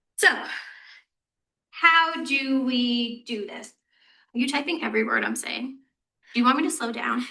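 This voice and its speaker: A woman's raised, projected voice is high in pitch and bright and sharp in tone. It has big swings in loudness and long, frequent pauses. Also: ordinary pitch variation. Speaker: university health educator. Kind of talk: presentation to student senate. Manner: fast; casual, animated.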